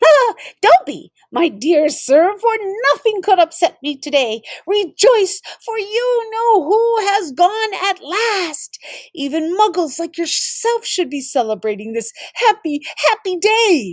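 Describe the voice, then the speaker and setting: A woman uses a squeaky, put-on character voice at an extremely high pitch. Her pitch swings very widely at a fairly slow pace. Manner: jubilant, gleeful.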